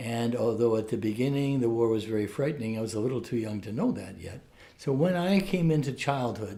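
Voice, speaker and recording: A man speaks in a dark, mellow tone that is somewhat breathy. His intonation is lively, with audible room echo. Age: 70s. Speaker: Jesuit priest and professor. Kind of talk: interview. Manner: halting.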